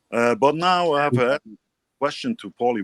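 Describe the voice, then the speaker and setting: A man with a non-native accent, fairly high pitch, very wide pitch swings and a moderate pace. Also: dry, close sound with no echo. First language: German. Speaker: podcast co-host. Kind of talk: casual chat. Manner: halting.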